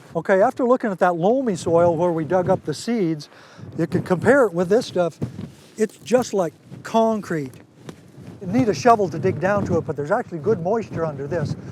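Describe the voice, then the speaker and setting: A man talks at a fairly quick pace in an American accent, his pitch high. His intonation is lively. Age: 70s. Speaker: farmer. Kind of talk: casual explanation on farm tour.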